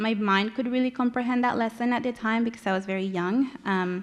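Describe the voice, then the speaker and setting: A woman speaks with a Spanish accent. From Mexico, Monterrey. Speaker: community organizer, panelist. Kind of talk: prepared remarks read aloud. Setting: conference panel with audience. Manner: reading from notes.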